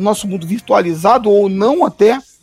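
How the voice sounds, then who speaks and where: Against noticeable background noise, a man speaks at a fairly quick pace in a high pitch. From Brasília, Brazil. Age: 50s. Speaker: gospel musician. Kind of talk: casual chat. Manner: halting.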